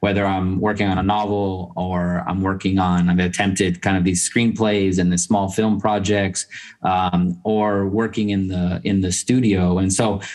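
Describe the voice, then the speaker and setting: Against a quiet background, a man with a very deep, low pitch talks at a fairly slow pace in a flat monotone, with very even loudness and hardly any pauses. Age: 40s. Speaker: novelist and professor. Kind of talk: interview. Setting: video call.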